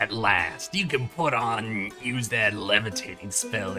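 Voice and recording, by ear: A man's put-on character voice at medium pitch and a fairly slow pace, clear music in the background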